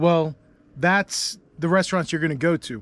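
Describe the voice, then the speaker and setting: High-pitched man's voice with ordinary pitch variation, in a dry, close sound with no echo. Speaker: travel vlogger. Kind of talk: casual vlog narration. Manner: casual, conversational.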